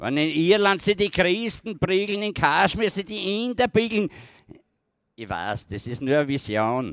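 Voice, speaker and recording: On a very clean recording with a silent background, a man speaks at a very slow pace with long, frequent pauses, his high pitch making very wide swings and his loudness shifting greatly. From Styria, Austria. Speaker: slam poet, dialect author. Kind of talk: poetry performance. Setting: outdoor stage with audience. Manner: rising to shouting rage.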